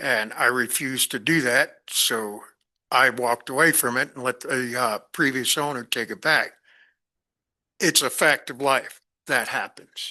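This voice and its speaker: Against a quiet background, a man with an American accent speaks at a fairly slow pace in a medium pitch, with a bright, sharp tone and fairly even intonation. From New York City, the Bronx. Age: 70s. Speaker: planning commissioner. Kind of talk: public meeting deliberation.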